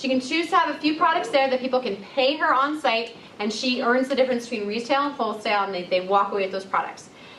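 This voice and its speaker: A woman's high voice rises and falls with lively intonation, noticeable background noise behind her. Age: 20s. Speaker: entrepreneur and massage therapist. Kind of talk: live sales presentation to an audience. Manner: casual, enthusiastic.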